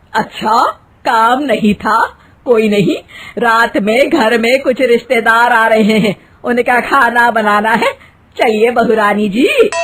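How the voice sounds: A woman performs a put-on character voice at a fairly high pitch with a fairly bright tone. She goes at a slow pace with few pauses. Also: lively intonation.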